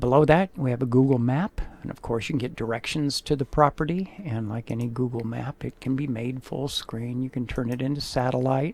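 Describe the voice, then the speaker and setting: A man has an unremarkable speaking voice at a medium pitch. He talks at a fairly quick pace with ordinary pitch variation. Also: hardly any pauses. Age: 60s. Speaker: real estate photographer. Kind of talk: sales pitch. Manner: casual, conversational.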